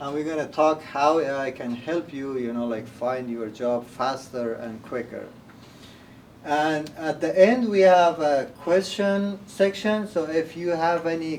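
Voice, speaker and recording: At a fairly slow pace, a man with a non-native accent talks in a fairly high voice with ordinary pitch variation. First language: not English. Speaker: workshop presenter, community center staff member. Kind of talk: workshop presentation. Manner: hesitant, many fillers.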